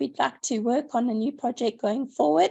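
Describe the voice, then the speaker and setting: A woman with a high pitch talks at a moderate pace. The background is quiet. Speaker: conservation scientist. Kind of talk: presentation.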